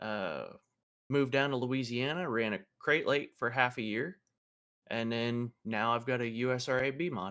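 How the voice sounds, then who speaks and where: Speaking with an American accent, a man uses a bright, sharp tone, medium pitch, ordinary pitch variation and a moderate pace. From Pennsylvania, US. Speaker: race car driver and Air Force veteran. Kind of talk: casual interview chat.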